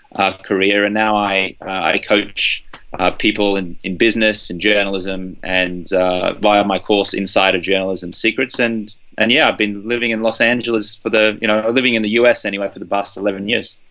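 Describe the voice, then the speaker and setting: With an Australian accent, a man speaks fairly quickly at a fairly low pitch. His tone is bright and sharp, and his intonation is monotone and flat. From Australia, Brisbane. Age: 30s. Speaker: journalist and journalism coach. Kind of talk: interview.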